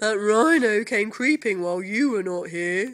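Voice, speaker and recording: This is a put-on character voice. It sounds female, with a medium pitch. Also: moderate pace. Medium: read story.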